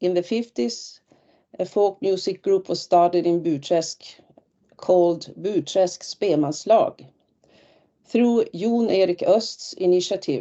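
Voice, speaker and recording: A woman's medium-pitched voice at a very slow pace, with ordinary pitch variation and long, frequent pauses. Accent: Swedish. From northern Sweden (Västerbotten). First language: Swedish. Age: 60s. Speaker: retired teacher and folk musician. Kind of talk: webinar presentation. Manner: halting.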